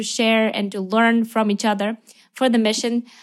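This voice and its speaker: In a very clean recording with a silent background, a woman speaks at a fairly high pitch with a Ukrainian accent. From Ukraine. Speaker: missionary. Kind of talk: interview. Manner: animated.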